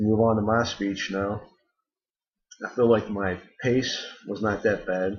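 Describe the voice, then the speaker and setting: The voice is somewhat breathy, with monotone, flat intonation. Long, frequent pauses run through it. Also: man, fairly low pitch for a man. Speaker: student. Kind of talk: spoken assignment critique. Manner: hesitant with ums.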